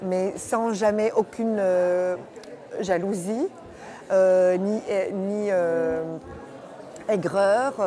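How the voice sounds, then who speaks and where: A woman at a very slow pace with long, frequent pauses and fairly even intonation, plus audible room echo and crowd noise in the background. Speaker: voice actor (dubbing). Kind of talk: interview. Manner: halting, many hesitations.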